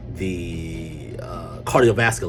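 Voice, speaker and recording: A man with a North Carolina accent, music in the background and audible room echo. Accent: Southern US, North Carolina. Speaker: medical transportation business owner. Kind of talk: casual video talk, business advice. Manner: hesitant, many fillers.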